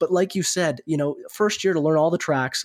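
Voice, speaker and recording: A man with a western Canadian accent and a fairly high pitch speaks at a fairly quick pace with fairly even intonation, recorded very cleanly against a silent background. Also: dry, close sound with no echo. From Canada, Alberta (Red Deer). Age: 20s. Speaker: racing driver. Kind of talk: interview. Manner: articulate.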